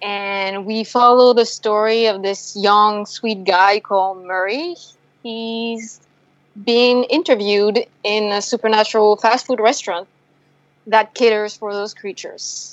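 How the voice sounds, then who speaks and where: In a French accent, a woman with a fairly high pitch talks at a fairly slow pace. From France. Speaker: filmmaker. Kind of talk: interview.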